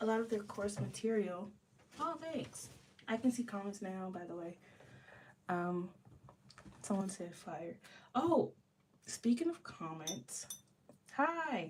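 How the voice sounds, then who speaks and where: A woman speaks at a very slow pace with long, frequent pauses, her medium-pitched voice somewhat breathy, swinging widely in pitch and greatly in loudness. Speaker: art student and livestreamer. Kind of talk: casual livestream chat while drawing. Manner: hesitant, many fillers.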